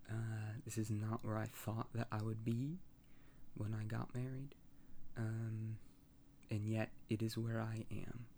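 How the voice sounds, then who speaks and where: A man's somewhat breathy, dark, mellow voice at a medium pitch, monotone and flat, with very even loudness, a fairly slow pace and long, frequent pauses. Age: 20s. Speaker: personal podcaster. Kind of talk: personal monologue. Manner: halting, many fillers.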